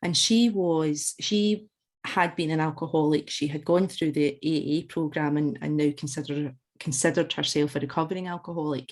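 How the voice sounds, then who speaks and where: With a Scottish accent, a woman speaks at a very deep, low pitch and a moderate pace. Her pitch variation is ordinary, and the background is quiet. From Scotland, Glasgow / West Central Scotland. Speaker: alcohol freedom coach. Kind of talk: podcast interview. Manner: conversational with frequent hesitations and repeats.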